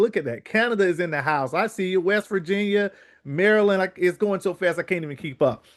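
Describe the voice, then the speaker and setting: A man with a rural Southern US accent talks at a fairly quick pace in a high pitch and an animated tone. The background is quiet. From South Carolina, Marion. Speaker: network marketing presenter. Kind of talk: online business call hosting.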